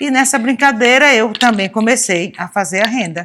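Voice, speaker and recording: A woman with a plain, everyday voice, lively intonation, and a moderate pace. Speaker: lace maker. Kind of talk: interview testimony.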